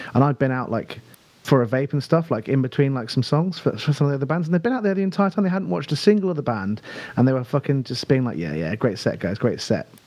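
Speaking very fast with a southern English accent, a man lets his pitch swing very widely. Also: fairly high pitch for a man. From southern England (Buckinghamshire). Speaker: rock band singer. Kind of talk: casual chat.

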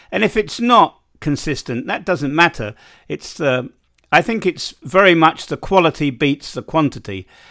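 In a very clean recording with a silent background and a dry, close sound with no echo, a man with a bright, sharp tone, vocal fry and a fairly high pitch talks at a moderate pace with very wide pitch swings. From London, England. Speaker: podcast host. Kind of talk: casual interview chat.

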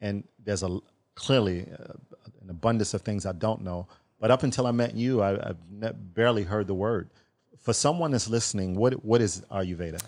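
An unremarkable speaking voice from a man, fairly low in pitch, at a moderate pace with ordinary pitch variation and big swings in loudness. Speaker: podcast host. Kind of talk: interview. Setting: studio.

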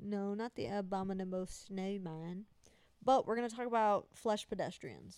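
A woman with a Southern Appalachian accent speaks at a moderate pace and a medium pitch. Her tone is animated, with ordinary pitch variation. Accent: Southern Appalachian twang. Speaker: podcast host. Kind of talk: casual comedic chat. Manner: joking, animated, crude.

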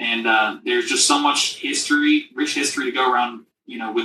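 Music in the background under a man's fairly quick delivery. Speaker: company co-founder and CEO. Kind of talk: casual interview chat.

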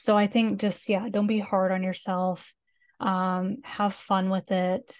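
Against a quiet background, a woman with an American accent talks very slowly at a medium pitch, her intonation monotone and flat and her loudness very even. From Canada, northern British Columbia. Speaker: Sims builder and graphic designer. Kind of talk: casual chat interview.

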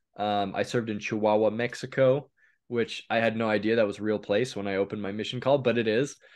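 With a Western US accent, a man talks at a very fast pace and fairly low pitch in a monotone, flat intonation against a quiet background. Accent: General American, western US. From US Pacific Northwest, eastern Oregon. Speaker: YouTube host. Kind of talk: casual conversation.

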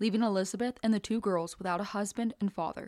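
The recording is very clean, with a silent background and a dry, close sound with no echo. A woman with an unremarkable speaking voice talks at a fairly quick pace, with medium pitch and ordinary pitch variation. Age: 20s. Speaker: true crime podcast co-host. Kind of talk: scripted narration with casual chat.

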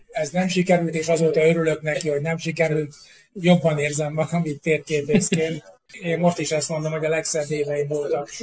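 A man at a fairly high pitch, with monotone, flat intonation and a fairly quick pace. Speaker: cartographer and map publisher. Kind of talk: interview. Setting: on location.

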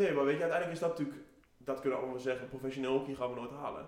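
Talking at a very fast pace, a man has a slightly mellow tone and ordinary pitch variation. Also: medium pitch for a man.

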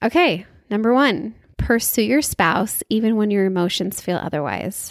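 Recorded very cleanly against a silent background, a woman speaks fairly slowly at a medium pitch. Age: 30s. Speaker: podcast host. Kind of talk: casual solo chat.

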